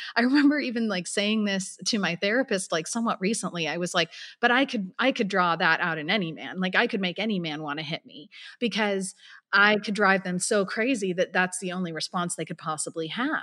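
A woman with a West Coast accent speaks at a fairly quick pace, her pitch medium with ordinary variation. Her tone is bright and sharp, and the recording is very clean with a silent background. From San Francisco Bay Area. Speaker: nonprofit founder and abuse survivor. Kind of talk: personal testimony in interview.

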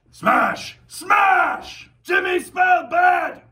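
A man shouts in a put-on character voice pitched extremely high for a man, speaking at a very slow pace. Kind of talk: broken, simple speech. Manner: yelling, loud.

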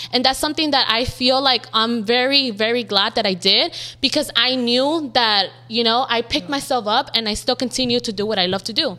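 A woman's high pitch and bright, sharp tone in an American accent, with ordinary pitch variation at a fairly quick pace. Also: hardly any pauses. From South Central Los Angeles. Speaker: social media makeup artist. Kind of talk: casual interview chat.

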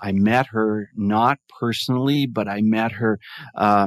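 A man's fairly low voice at a very slow pace, fairly even in intonation, over a quiet background. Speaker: mindfulness advocate and podcaster. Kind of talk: casual interview chat.

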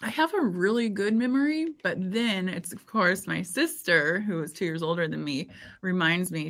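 A woman's normal speaking voice with an American accent, medium pitch, moderate pace and lively intonation, on a very clean recording with a silent background. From Indiana, US Midwest. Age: 40s. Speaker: podcast host and former fitness trainer. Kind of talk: casual interview chat.

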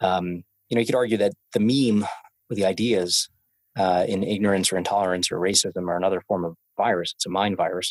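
A man with an American accent talks at a fairly quick pace in an ordinary speaking voice, his pitch fairly low. The sound is dry and close with no echo, and his intonation stays fairly even. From US, Brooklyn, New York (Coney Island). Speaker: venture capital investor. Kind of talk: casual interview.

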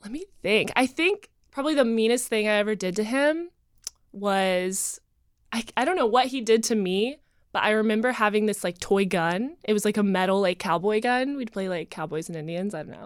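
A woman with an unremarkable speaking voice and an American accent talks at a moderate pace with a fairly high pitch. Her intonation is lively, her loudness swings widely, and the recording is very clean with a silent background. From North Carolina, Asheville. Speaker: dating show contestant, model. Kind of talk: casual chat.

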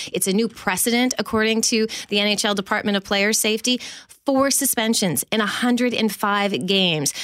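Speaking at a moderate pace and medium pitch, a woman has an ordinary speaking voice on a very clean recording with a silent background. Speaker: hockey broadcaster. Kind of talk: casual chat and sports analysis. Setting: studio.

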